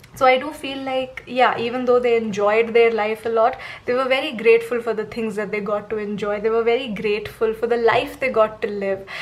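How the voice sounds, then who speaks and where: With noticeable background noise, a woman speaks at a fairly high pitch and a fairly quick pace, with fairly even intonation and hardly any pauses. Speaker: tarot reader. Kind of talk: tarot reading monologue.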